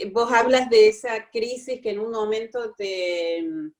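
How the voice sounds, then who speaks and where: A woman speaks very slowly in a Córdoba Argentine accent, her fairly high pitch held to fairly even intonation. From Córdoba, Argentina. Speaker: workshop participant. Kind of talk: personal testimony. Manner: halting.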